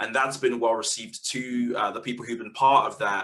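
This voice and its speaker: A London accent at a fairly quick pace. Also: man. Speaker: community media organiser. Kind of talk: webinar panel talk. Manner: halting, many fillers and repeats.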